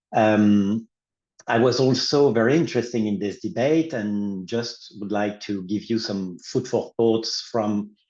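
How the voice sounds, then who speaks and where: Against a quiet background, a man with a French accent speaks fairly slowly at a medium pitch. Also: ordinary pitch variation. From France. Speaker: law professor. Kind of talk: academic panel discussion.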